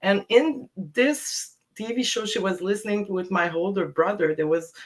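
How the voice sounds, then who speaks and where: A woman speaks with a Quebec accent. Her pace is moderate. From Quebec, Montreal. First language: French. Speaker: DJ. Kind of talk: casual interview. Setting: live stream video call.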